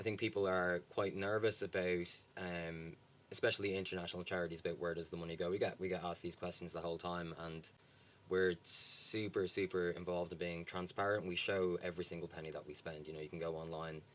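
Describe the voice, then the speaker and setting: A man talks very fast in a Dublin accent. His voice is very deep and low, with monotone, flat intonation. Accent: Dublin Irish. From Ireland, Dublin. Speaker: charity worker. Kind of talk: interview.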